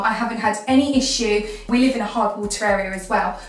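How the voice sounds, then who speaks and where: Audible room echo surrounds a woman speaking at a moderate pace with fairly even intonation. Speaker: home vlogger. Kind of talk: casual vlog chat. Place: bathroom.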